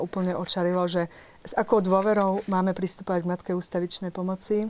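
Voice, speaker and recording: A woman at a fairly low pitch, fairly quick pace and monotone, flat intonation, on a very clean recording with a silent background. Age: young. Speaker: English teacher. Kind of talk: TV studio discussion.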